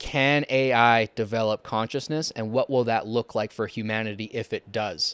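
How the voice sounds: This man talks at a moderate pace and medium pitch, his tone clear, smooth and fairly bright, with fairly even intonation.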